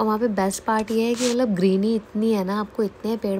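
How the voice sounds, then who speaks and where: A woman's somewhat breathy, dark, mellow voice at a medium pitch, moderate pace and fairly even intonation. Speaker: vlogger. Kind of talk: travel vlog voiceover.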